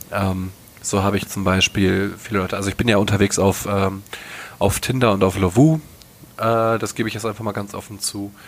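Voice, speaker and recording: A man with an unremarkable speaking voice, a fairly low pitch, fairly even intonation and a fairly quick pace. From North Rhine-Westphalia, western Germany. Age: 20s. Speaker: podcast co-host. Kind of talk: casual chat.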